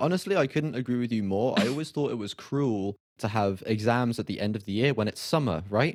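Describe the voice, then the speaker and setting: Speaking with a British accent at a fairly quick pace, the voice uses lively intonation and hardly any pauses. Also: man, medium pitch for a man. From Britain. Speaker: podcast host. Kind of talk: interview podcast. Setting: remote call.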